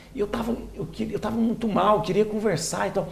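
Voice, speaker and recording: A man talks at a moderate pace, with audible room echo and noticeable noise behind him. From Minas Gerais, Brazil (Lavras). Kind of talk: interview. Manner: halting, with many restarts.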